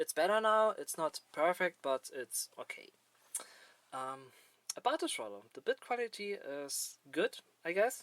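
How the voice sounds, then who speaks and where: A man with a non-native accent, dry and close with no echo. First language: not English. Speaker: gaming hardware reviewer. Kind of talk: improvised product review. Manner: halting, many fillers.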